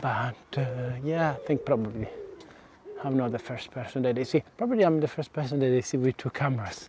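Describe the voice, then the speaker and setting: Over noticeable background noise, a man speaks fairly quickly at a medium pitch with ordinary pitch variation. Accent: Italian. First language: Italian. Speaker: vlogger. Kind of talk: casual walking vlog. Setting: outdoors, walking. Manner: halting. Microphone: DJI mic without windscreen.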